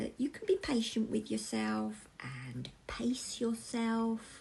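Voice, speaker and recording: A woman with a warm, gentle, dark and mellow tone speaks somewhat breathily, her pitch swinging very widely. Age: 50s. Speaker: crafting channel host. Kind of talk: casual talk to camera.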